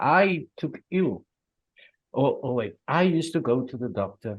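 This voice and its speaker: A man speaks with lively intonation. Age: 60s. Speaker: cancer survivor, support volunteer. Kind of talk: testimony.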